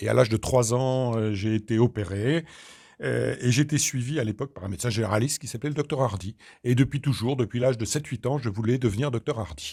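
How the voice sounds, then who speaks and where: With vocal fry and ordinary pitch variation, a man at a medium pitch talks at a fairly quick pace on a very clean recording with a silent background. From Normandy, Caen (Calvados). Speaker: doctor and regional politician. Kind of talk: interview.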